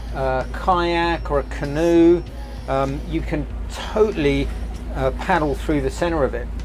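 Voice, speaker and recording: Light background noise sits under a man talking at a fairly slow pace. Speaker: boat tour host. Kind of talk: casual tour commentary. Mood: enthusiastic, relaxed. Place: boat.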